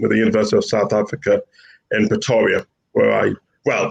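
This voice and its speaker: A man with a Yorkshire accent at a fairly quick pace. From northern England, Bradford, West Yorkshire. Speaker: professor. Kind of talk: panel discussion.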